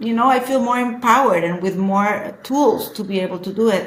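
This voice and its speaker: A woman with a Spanish accent talks at a moderate pace with ordinary pitch variation, her voice carrying audible room echo over noticeable background noise. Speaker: social media influencer. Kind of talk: casual chat. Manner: halting.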